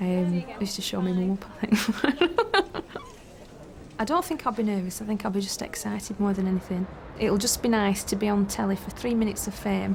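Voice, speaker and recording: Over noticeable background noise, a woman with a Lancashire accent talks at a fairly quick pace with ordinary pitch variation. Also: medium pitch for a woman. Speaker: bank worker, talent show contestant. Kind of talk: interview segment.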